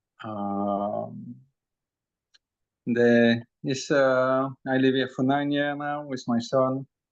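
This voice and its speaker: Against a quiet background, a man with a medium-pitched voice talks at a very slow pace with fairly even intonation and long, frequent pauses. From Belgium. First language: French. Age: 40s. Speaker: energy healer and channeler. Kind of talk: interview testimony. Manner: hesitant, many fillers.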